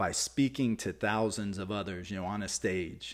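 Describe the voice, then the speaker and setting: On a very clean recording with a silent background, a man with an American accent speaks at a moderate pace, using a fairly low pitch and ordinary pitch variation. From Texas. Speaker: fitness and nutrition coach, podcast host. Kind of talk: motivational solo podcast talk.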